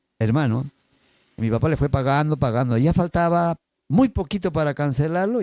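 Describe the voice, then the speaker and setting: The voice has a dark, mellow tone with ordinary pitch variation, delivered at a moderate pace. The sound is dry and close with no echo, on a very clean recording with a silent background. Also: man. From Peru, Áncash highlands, raised in Lima. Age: 60s. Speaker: podcast guest sharing life story. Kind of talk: casual interview, personal testimony.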